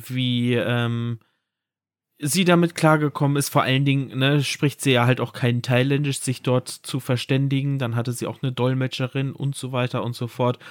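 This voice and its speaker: Over a silent background in a very clean recording, a man at medium pitch talks at a fairly slow pace in a monotone, flat intonation. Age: 30s. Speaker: podcast co-host. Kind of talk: casual chat.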